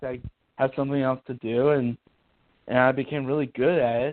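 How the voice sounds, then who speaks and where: Speaking at a fairly quick pace, a man uses a fairly high voice. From Ohio. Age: 20s. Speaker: author. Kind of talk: interview. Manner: halting.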